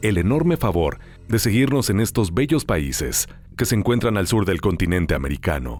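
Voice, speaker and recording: Music plays as a man talks at a moderate pace. His fairly low pitch moves in very wide swings. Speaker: voice-over announcer. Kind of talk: podcast host intro to audience.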